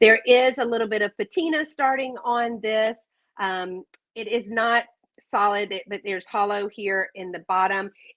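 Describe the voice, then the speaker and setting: Speaking with a Southern US accent, a woman uses a fairly high pitch, ordinary pitch variation and big swings in loudness at a moderate pace. The sound is dry and close with no echo, over a quiet background. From South Carolina. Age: 50s. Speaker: online vintage seller. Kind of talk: live sales stream. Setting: live video stream. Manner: animated.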